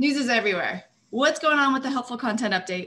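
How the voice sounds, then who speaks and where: Bright, sharp, high-pitched woman's voice with lively intonation at a fairly quick pace. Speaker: webinar host. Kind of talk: webinar hosting. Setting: video call. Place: office. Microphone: webcam.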